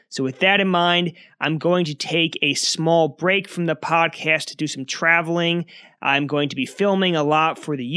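Over a quiet background, a man with a New Jersey accent talks at a moderate pace, his bright, sharp voice fairly high in pitch with fairly even intonation. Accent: New Jersey American. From New Jersey, US. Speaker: history podcast host. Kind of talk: history narration.

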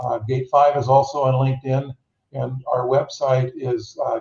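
A man's somewhat breathy, medium-pitched voice, fairly slow, with monotone, flat intonation. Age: 70s. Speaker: startup CEO. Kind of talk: interview. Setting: video call. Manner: halting, many repeated words.

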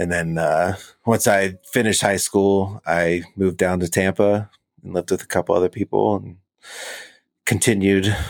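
Very deep, low male voice in an American accent, monotone and flat, with a dry, close sound and no echo. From Florida (Orlando). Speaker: hardcore punk musician, airplane mechanic. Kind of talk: casual interview chat.

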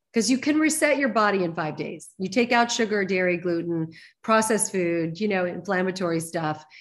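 A woman speaks at a medium pitch with lively intonation and a fairly quick pace. It is a plain, everyday voice. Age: 60s. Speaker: nutrition and wellness practitioner. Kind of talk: interview.

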